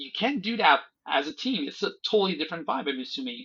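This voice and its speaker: A man with a French accent, lively intonation and a moderate pace. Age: 40s. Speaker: software founder. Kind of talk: casual chat.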